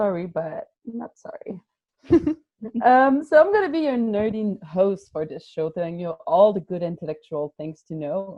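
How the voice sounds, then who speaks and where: At a moderate pace, a woman of medium pitch talks with very wide pitch swings and big shifts in loudness. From Quebec, Montreal suburbs. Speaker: radio show host, youth project coordinator. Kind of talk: casual podcast chat. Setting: remote recording. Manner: energetic, intense.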